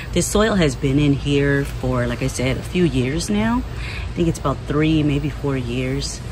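The speech moves at a fairly slow pace, with a dry sound that has no echo and noticeable background noise. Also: woman. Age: 50s. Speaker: gardening video creator. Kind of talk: casual vlog talk while gardening. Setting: outdoors in the garden. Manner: relaxed with many fillers. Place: garden. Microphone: phone near.

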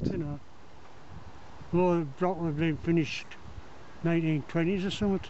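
A man with a North East English accent talks at a fairly quick pace and high pitch, with fairly even intonation, long, frequent pauses, light background noise and a dry sound with no echo. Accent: pitmatic, North East English. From County Durham. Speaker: retired coal miner. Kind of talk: interview answer, reminiscing. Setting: outdoors. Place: open country. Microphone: phone near.

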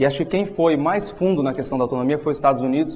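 A man is talking. The pitch of his voice shifts by an ordinary amount. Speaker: presenter. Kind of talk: lecture. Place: hall. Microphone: lapel.

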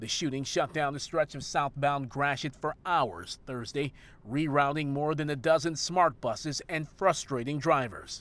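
A plain, everyday voice from a man with a fairly high pitch, ordinary pitch variation and a moderate pace. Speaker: TV news reporter. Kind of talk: formal news reading, scripted broadcast report. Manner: formal, even-paced, measured and authoritative newsreader delivery.

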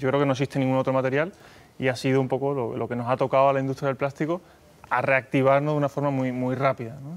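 A man talks at a very fast pace with an Andalusian accent. His intonation stays monotone and flat. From Mexico. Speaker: company executive; guest. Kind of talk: TV interview. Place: studio. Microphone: lapel.

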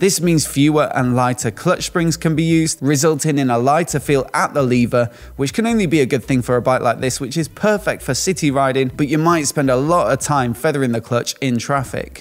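The speaker moves at a fairly quick pace with hardly any pauses, very even loudness and ordinary pitch variation. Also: man. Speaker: motorcycle reviewer. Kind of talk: product overview commentary. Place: home room. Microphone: studio mic.

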